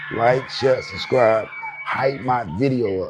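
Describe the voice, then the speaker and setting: A man talks in an animated tone. Music plays in the background. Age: 40s. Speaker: hip hop commentary youtuber. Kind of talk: casual commentary rant. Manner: repetitive.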